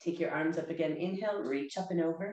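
Amid audible room echo, a woman speaks at a fairly quick pace in a dark, mellow, fairly low voice with ordinary pitch variation. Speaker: yoga instructor. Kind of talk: guided chair yoga class with breathing cues. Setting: video lesson to camera. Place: home room. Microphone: webcam.

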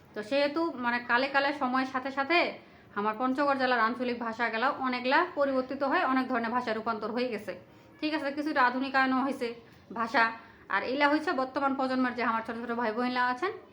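With noticeable background noise, a woman speaks at a high pitch with fairly even intonation. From Panchagarh, northern Bangladesh. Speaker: video creator. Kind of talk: casual monologue to viewers.

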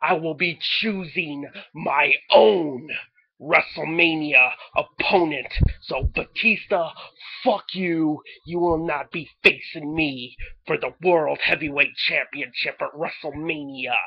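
The speaker talks at a fairly slow pace. The pitch sits in the middle range. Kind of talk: pro-wrestling promo. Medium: solo performance. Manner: boastful, defiant, swaggering; profane, taunting.

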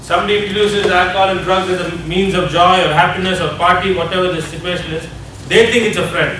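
A man uses a raised, projected voice at a high pitch and a very fast pace. Light background noise and audible room echo are present. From India. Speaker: addiction ministry leader. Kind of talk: seminar lecture. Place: hall. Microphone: camera far.

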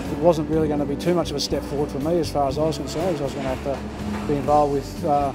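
Over clear music in the background, the speech moves at a very fast pace with hardly any pauses. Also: man. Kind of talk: interview answer. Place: farm machine.

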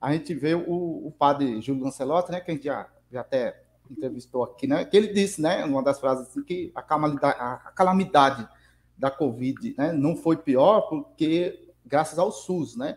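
Here a man talks at a moderate pace in a fairly high voice. His pitch varies in an ordinary way. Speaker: channel co-host. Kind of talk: livestream interview. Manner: halting.

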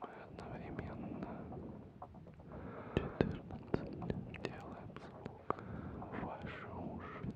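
A man whispers in a breathy voice at a very slow pace. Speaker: ASMR creator. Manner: close breathy whisper into microphone.

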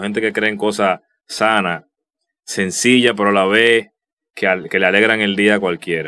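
A man's bright, sharp tone at a moderate pace, with fairly even intonation. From Dominican Republic. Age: 30s. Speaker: youtuber. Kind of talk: casual vlog commentary; casual commentary over screen share. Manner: halting, many repetitions and fillers. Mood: somber, nostalgic tribute. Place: home room.

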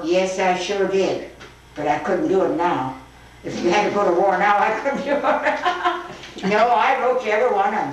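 A woman talks at a moderate pace with very wide pitch swings, amid audible room echo and light background noise. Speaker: grandmother telling life stories. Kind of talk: reminiscing conversation at home. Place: kitchen. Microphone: old recording.

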